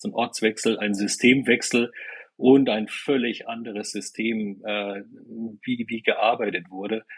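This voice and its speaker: A very slow, medium-pitched male voice with fairly even intonation and a dry, close sound with no echo. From eastern Germany, Weimar. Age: 50s. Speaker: business consultant and coach. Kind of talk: podcast interview. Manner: hesitant, many fillers and repeated words.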